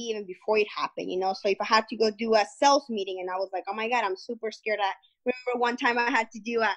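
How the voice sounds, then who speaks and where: With a Spanish accent, a woman speaks at a very fast pace and a fairly high pitch. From Guatemala. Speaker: entrepreneur. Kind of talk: interview.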